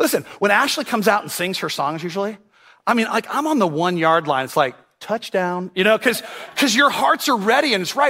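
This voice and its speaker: A man talks at a fairly quick pace in a raised, projected voice that is high in pitch and swings very widely. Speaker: pastor. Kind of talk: sermon. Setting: church. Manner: humorous.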